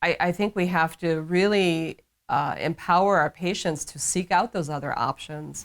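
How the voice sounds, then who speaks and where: On a very clean recording with a silent background, a woman with an ordinary speaking voice speaks at a fairly low pitch with fairly even intonation. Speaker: physician / medical practitioner. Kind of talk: interview answer.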